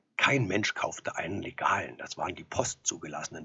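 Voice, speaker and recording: Noticeable background noise fills the clip. A man talks through it at a moderate pace. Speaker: actor. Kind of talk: storytelling monologue.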